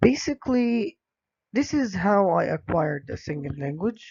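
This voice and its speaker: Speaking at a very slow pace, a man talks with an Arabic accent. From Egypt. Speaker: English language teacher. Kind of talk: presentation. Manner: hesitant, many fillers.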